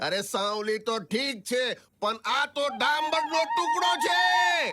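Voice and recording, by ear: This man uses a put-on character voice pitched extremely high, with a bright, sharp tone. He speaks slowly, and his pitch varies in an ordinary way.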